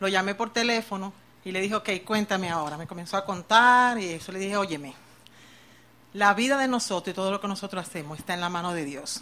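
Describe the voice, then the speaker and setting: Very fast speech with a bright, sharp tone and ordinary pitch variation. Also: woman, medium pitch for a woman. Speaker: church member giving testimony. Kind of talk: testimony. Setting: church with congregation.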